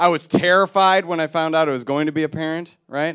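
A man at a fairly quick pace, with ordinary pitch variation, against a quiet background. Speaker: stand-up comedian. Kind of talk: stand-up comedy routine. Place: stage. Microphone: handheld.

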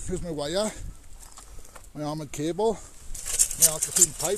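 A man speaks with a slightly mellow tone. His pitch varies in an ordinary way.

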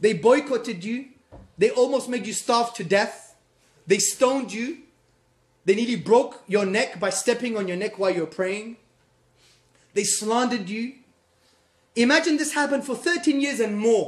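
Pausing long and often, a man with an extremely high pitch talks at a moderate pace in an animated tone with ordinary pitch variation. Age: 30s. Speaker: Islamic lecturer. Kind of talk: lecture. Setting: stage with audience. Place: classroom. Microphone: phone near.

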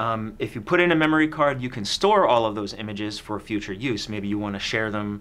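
Speaking at a fairly quick pace, a man uses a plain, everyday voice that sits fairly low, with ordinary pitch variation. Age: 30s. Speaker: camera store video host. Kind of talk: product review chat. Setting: studio. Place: studio.

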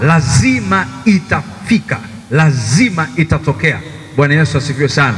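Male speech at a moderate tempo. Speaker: seminar teacher. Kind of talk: sermon. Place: church. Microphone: handheld.

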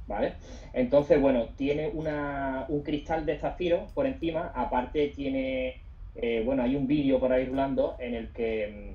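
A man speaks in a normal speaking voice, pitched fairly high. His pace is fairly slow and his intonation fairly even. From southern Spain, Bay of Cádiz; southern Spain. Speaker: sports photographer; guest. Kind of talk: webinar interview. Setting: Instagram live stream. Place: home room. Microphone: video call.

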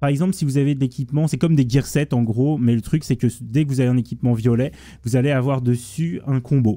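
A man speaks very fast at a medium pitch, his loudness very even and his pitch varying in an ordinary way. The tone is dark and mellow, on a very clean recording with a silent background. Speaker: gaming YouTuber. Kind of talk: gameplay tutorial.

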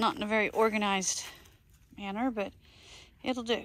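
The pace is fairly slow. The tone sounds fairly bright. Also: woman.

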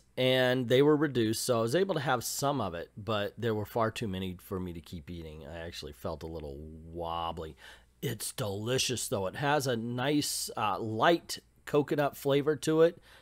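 Against a quiet background, a man talks at a moderate pace with big swings in loudness. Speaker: food vlogger. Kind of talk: casual food review. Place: cafe. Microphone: phone near.

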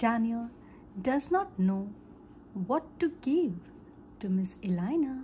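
Very slowly, with long, frequent pauses, a woman speaks in a gentle tone with very wide pitch swings. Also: fairly high pitch for a woman. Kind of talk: bedtime story reading aloud for young children. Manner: gentle, simple and slow, storybook read-aloud pace.

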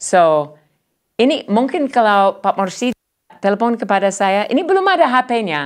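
Someone with an English accent talks at a fairly slow pace with very wide pitch swings. Loudness stays very even over a quiet background. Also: woman, fairly high pitch for a woman. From United States. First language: English (speaking Indonesian). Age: 60s. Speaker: professor, ethnomusicologist; visiting professor guest. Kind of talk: interview; interview answer. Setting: studio. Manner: halting. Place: studio. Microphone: lapel.

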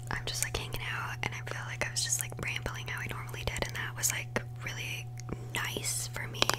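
Over loud background noise, a woman speaks softly. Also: fairly quick pace. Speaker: makeup vlogger. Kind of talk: casual vlog chat. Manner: soft, close-mic ASMR speaking. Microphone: studio mic.

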